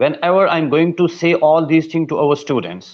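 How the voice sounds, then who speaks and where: A man speaks at a fairly high pitch with a non-native accent. His pitch varies in an ordinary way. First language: not English. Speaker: English teacher and interviewer. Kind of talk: interview.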